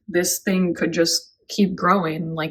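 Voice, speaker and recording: On a very clean recording with a silent background, a woman speaks somewhat breathily at a fairly slow pace with ordinary pitch variation. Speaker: houseplant youtuber. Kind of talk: casual plant update vlog.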